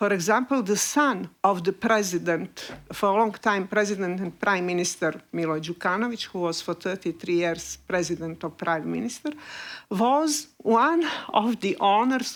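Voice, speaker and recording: A woman in a Montenegrin accent, medium in pitch, with lively intonation and a moderate pace, on a very clean recording with a silent background. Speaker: investigative journalist. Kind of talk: panel discussion. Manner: halting, many fillers.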